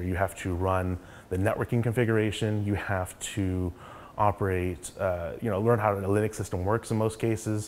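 A man with a plain, everyday voice speaks at a fairly low pitch in an American accent. He keeps a fairly quick pace and fairly even intonation, with light background noise. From Oklahoma (Yukon). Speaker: tech startup co-founder. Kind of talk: interview monologue. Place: office.

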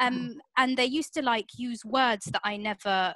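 A woman with a southern English accent, a bright, sharp tone and fairly high pitch, ordinary pitch variation at a moderate pace, in a dry recording with no echo and a quiet background. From southern England, Portsmouth; southern England. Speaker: comedian, panelist. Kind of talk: online panel discussion. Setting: video call. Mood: reflective, conversational. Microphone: video call.

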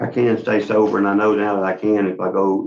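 This man has a Louisiana accent and a fairly low pitch. He speaks at a very fast pace with monotone, flat intonation. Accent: Southern US (Louisiana). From western Louisiana, Leesville area. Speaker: inmate at parole hearing. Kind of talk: testimony. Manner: halting. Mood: earnest, pleading. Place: office.

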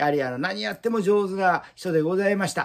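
A man with a high pitch talks at a fairly quick pace with lively intonation. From Japan. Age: 60s. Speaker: Buddhist altar shop owner. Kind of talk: promotional video monologue. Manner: formal. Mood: warm, proud, reminiscing. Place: shop.

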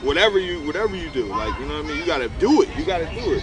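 A man rattles off his words very fast against loud background noise. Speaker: guest. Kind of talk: interview answer. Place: street.

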